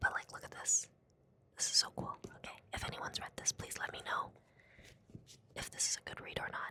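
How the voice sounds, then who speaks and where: Fairly quick whispering with long, frequent pauses, big swings in loudness and noticeable background noise. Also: woman. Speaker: book vlogger. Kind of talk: casual vlog. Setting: library.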